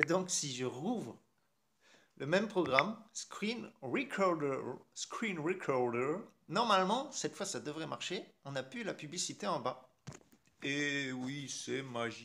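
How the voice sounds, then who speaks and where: Speaking at a very slow pace with long, frequent pauses, a man uses a fairly high pitch, a bright, sharp tone, and lively intonation. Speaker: tech youtuber. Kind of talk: tutorial. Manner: casual, hesitant.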